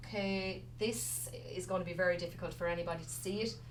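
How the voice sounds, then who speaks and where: Audible room echo surrounds a woman speaking with a Wexford accent. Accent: Wexford Irish. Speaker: resuscitation instructor. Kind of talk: lecture. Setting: stage with audience, streamed to remote centres. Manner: fast.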